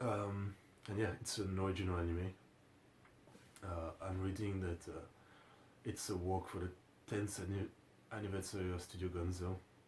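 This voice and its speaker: With a French accent, a man speaks at a moderate pace in a very deep, low pitch and a flat, monotone intonation. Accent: French accent, pronunciation problems. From France. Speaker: anime reaction youtuber. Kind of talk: casual video commentary. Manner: hesitant, many fillers.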